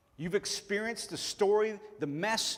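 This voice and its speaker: The speaker has a Tennessee accent. The pace is fairly slow. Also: man. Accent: southern US (Tennessee). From Chattanooga, Tennessee (US South). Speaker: pastor. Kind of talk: sermon.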